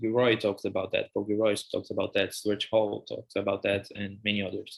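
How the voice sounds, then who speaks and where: This is a man speaking. He has a Portuguese accent. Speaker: music journalist and academic researcher. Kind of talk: podcast interview. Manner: halting, many false starts and fillers.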